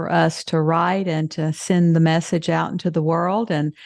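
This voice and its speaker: A woman with a Southern US accent speaks at a fairly slow pace. Her voice is fairly low in pitch, with monotone, flat intonation. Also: quiet background. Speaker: podcast host. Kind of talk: interview.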